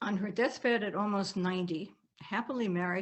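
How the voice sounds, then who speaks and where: A woman speaks with a slight German accent. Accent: faint German accent in American English. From Germany, Bavaria. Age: 80s+. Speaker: author. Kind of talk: reading aloud. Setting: video call.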